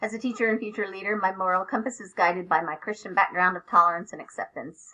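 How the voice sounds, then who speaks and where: A woman speaks with an American accent in an unremarkable speaking voice, her medium pitch showing ordinary variation. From Oklahoma. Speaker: teacher. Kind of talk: student presentation.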